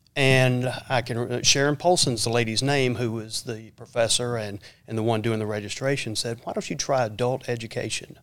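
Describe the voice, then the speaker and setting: A man with a Southern US accent talks at a moderate pace, his medium pitch showing ordinary variation. The recording is very clean, with a silent background. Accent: Southern US (Georgia). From US South, Georgia (Lawrenceville, near Atlanta). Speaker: school superintendent, army retiree. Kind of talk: interview. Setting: studio.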